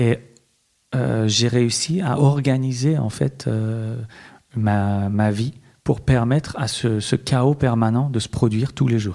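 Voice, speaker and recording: A man's medium-pitched voice with a Persian accent, a dark, mellow tone, ordinary pitch variation, and a very slow pace. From Iran, Tehran, moved to France at 12. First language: Persian (speaking French). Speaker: visual artist. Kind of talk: interview. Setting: hotel room. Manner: halting, many hesitations.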